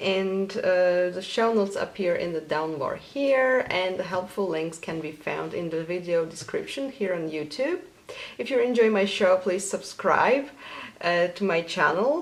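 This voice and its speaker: Over noticeable background noise, a woman with a Polish accent speaks at a fairly slow pace, with a medium pitch and lively intonation. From Poland. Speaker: knitting podcaster. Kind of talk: casual vlog.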